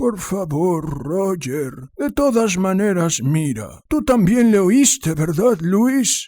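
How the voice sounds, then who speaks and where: Putting on a character voice, a high-pitched man speaks very slowly with very wide pitch swings. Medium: read story. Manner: firm, controlling.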